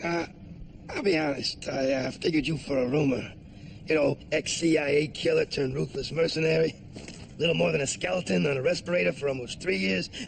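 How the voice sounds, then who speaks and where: This put-on character voice is raspy and moves at a fairly quick pace with lively intonation, over clear background noise. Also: man, fairly high pitch for a man. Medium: audio drama. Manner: aggressive, profane.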